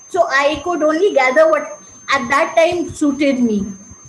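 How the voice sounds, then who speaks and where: In a space with audible room echo, a woman speaks with lively intonation. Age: 70s. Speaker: meditation participant, retired school counselor. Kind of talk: testimony. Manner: halting.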